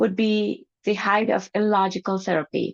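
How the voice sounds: Against a quiet background, this is a natural reading voice.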